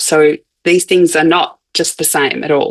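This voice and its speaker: The speech comes at a fairly slow pace in an Australian accent. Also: woman. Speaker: anthropologist of science. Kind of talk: academic lecture. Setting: conference talk. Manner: hesitant with fillers and restarts.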